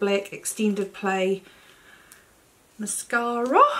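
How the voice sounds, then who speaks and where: The delivery is very slow, with fairly even intonation. Noticeable background noise runs underneath. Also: woman. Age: 50s. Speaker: beauty vlogger. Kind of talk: tutorial.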